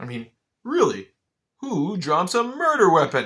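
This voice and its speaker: Using a put-on character voice, a man talks at a moderate pace with a high pitch and very wide pitch swings. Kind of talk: stage comedy. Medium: stage play. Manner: scornful.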